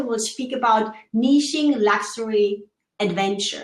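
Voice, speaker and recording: In a German accent, a woman speaks with a fairly high pitch, and audible room echo fills the recording. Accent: German, working on American pronunciation. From Germany. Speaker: show co-host. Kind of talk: live video chat.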